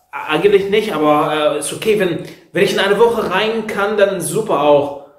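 A man with a non-native accent speaks at a moderate pace and high pitch with ordinary pitch variation, against a quiet background with audible room echo. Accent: foreign accent in German. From Egypt. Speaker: apartment seeker. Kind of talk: comedic skit, phone call. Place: home room. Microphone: earbuds.

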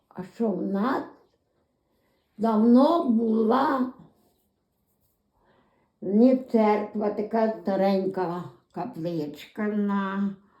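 A woman in a western Ukrainian accent talks at a very slow pace with long, frequent pauses, lively intonation, a fairly high pitch and a dark, mellow tone. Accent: western Ukrainian rural dialect. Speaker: dialect informant. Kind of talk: dialect interview answer.

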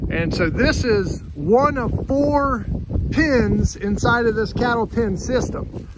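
A man's voice sounds dry, without echo, amid noticeable background noise. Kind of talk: casual vlog chat. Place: open country. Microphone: phone near.

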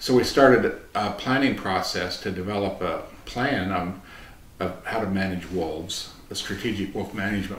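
With an American accent, a man speaks at a moderate pace and fairly low pitch, his intonation fairly even, amid light background noise and audible room echo. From US Midwest, Nebraska. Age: 60s. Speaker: retired wildlife biologist and agency director; interviewee. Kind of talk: oral history interview. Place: meeting room.

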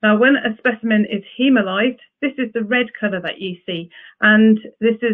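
A woman talks at a moderate pace with fairly even intonation over a quiet background. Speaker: presenter. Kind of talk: lecture. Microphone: webcam.

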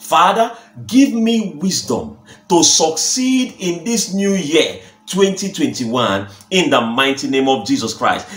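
With music in the background and audible room echo, the speech moves at a very slow pace with very wide pitch swings. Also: man. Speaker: pastor. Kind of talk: fervent repetitive prayer leading, declaring and decreeing. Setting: recorded video to camera. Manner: emphatic, insistent repetition with drawn-out 'uh' pauses; urgent, exhorting the audience to pray aloud. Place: home room. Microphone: phone near.

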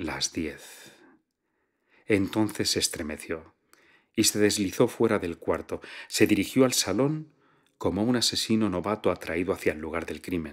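Against a quiet background, a man with a fairly low pitch talks in a calm tone with lively intonation and long, frequent pauses. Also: fairly slow pace. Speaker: audiobook narrator. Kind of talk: literary audiobook reading. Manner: calm, measured narrator with a fluid, storytelling delivery.

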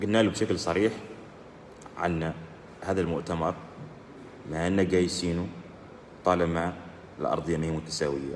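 A man speaks in a very deep, low voice. He leaves long, frequent pauses. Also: moderate pace. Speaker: journalist and union candidate. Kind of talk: live stream statement. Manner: halting.

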